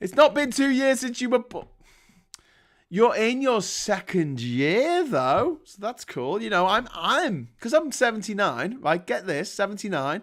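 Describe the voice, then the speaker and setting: In a northern English accent, a man speaks with an animated tone at a high pitch, his pitch swinging very widely and his loudness shifting a lot, on a very clean recording with a silent background. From northern England. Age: 40s. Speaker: livestream host. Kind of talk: casual chat. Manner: halting.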